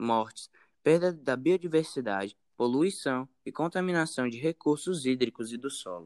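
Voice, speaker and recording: In a dry, close sound with no echo, a man of medium pitch speaks at a fairly slow pace, with lively intonation and big swings in loudness. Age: 20s. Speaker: researcher. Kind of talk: interview. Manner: halting.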